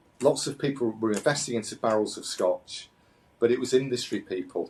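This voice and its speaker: With a British accent, a man talks at a moderate pace in a medium pitch, using ordinary pitch variation. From UK. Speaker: company founder and CEO. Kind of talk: interview. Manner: halting, many repetitions and fillers.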